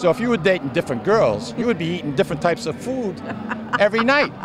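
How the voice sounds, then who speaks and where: Noticeable background noise sits behind this recording. A man speaks at a very fast pace in a high pitch. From Lawrence, Massachusetts. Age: 60s. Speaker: festival organizer and radio co-host. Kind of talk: interview. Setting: outdoors at a street festival.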